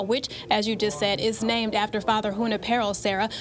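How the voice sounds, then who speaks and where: Noticeable background noise accompanies a woman whose pitch is fairly high for a woman. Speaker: TV news reporter and anchor. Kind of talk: TV news anchoring.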